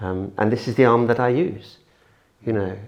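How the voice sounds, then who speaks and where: A man speaks at a moderate pace in an unremarkable speaking voice, with medium pitch and ordinary pitch variation. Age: 60s. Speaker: patient. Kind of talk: casual chat.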